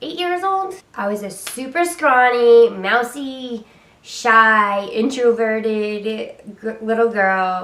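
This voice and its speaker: Speaking very slowly in a Rhode Island accent, a woman shows lively intonation and big swings in loudness. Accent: Rhode Island accent, drops R's. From US Northeast, Rhode Island. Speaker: YouTuber. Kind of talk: story time vlog. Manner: casual, many fillers.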